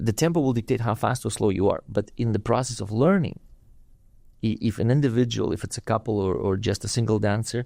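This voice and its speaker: A man's medium-pitched voice in a Russian accent, dark and mellow, with ordinary pitch variation and a fairly quick pace. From Russia (USSR). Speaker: dance teacher and studio owner. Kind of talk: podcast interview. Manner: halting, many repetitions and fillers.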